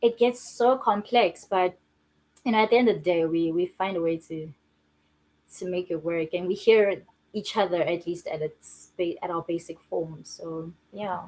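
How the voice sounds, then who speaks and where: A woman with a Zulu accent, fairly low in pitch, with ordinary pitch variation at a moderate pace. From South Africa, Johannesburg. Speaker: filmmaker and screenwriter. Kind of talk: interview.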